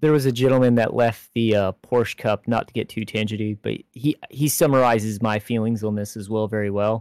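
With an American accent and an ordinary speaking voice, a man talks at a fairly quick pace and medium pitch with fairly even intonation, the recording very clean, dry and close, with a silent background and no echo. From Florida, Jacksonville. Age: 20s. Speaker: sim racing podcast co-host. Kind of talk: casual chat.

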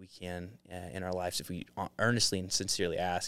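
Against a very clean recording with a silent background, a man with an ordinary speaking voice and an American accent talks fairly quickly at a fairly low pitch. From Utah. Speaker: door-to-door salesman. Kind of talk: casual chat.

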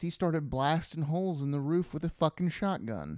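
The man speaks with an American accent at a fairly high pitch, his pitch varying in an ordinary way. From US South. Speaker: podcast co-host. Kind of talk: casual chat.

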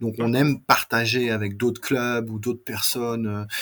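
A man at a medium pitch, with monotone, flat intonation. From France. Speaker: scale model company owner. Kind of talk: interview.

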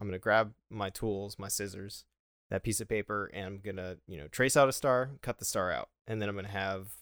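A man with a Western New York accent speaks at a fairly quick pace with ordinary pitch variation. The sound is dry and close with no echo, on a very clean recording with a silent background. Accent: Western New York (Inland North) American. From Buffalo, New York, US. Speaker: Air Force officer, manufacturing engineer. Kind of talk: casual interview.

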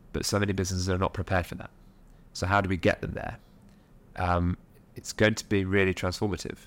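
Very deep and low, a man's voice runs at a very fast pace with monotone, flat intonation and long, frequent pauses on a very clean recording with a silent background. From Nottingham, England. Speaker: social enterprise founder and board member. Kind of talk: interview conversation.

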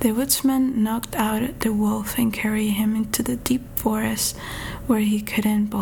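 Intonation stays fairly even. It comes from a natural reading voice.

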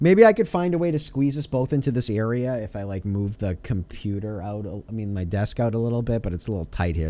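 At a fairly quick pace, a man with a dark, mellow tone speaks at a fairly low pitch with lively intonation. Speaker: podcast host. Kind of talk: casual chat.

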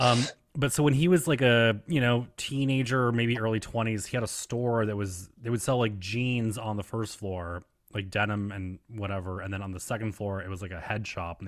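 A man with an American accent and a normal speaking voice, fairly low in pitch, with ordinary pitch variation, big swings in loudness and a moderate pace, on a very clean recording with a silent background. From upstate New York (Elmira). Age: 30s. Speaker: podcast host. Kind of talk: casual interview chat.

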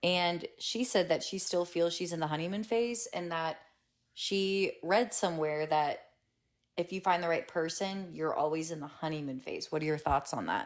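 On a very clean recording with a silent background, a woman with a fairly low pitch uses an ordinary speaking voice with ordinary pitch variation. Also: moderate pace. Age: 20s. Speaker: guest and friend. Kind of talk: casual chat over wine.

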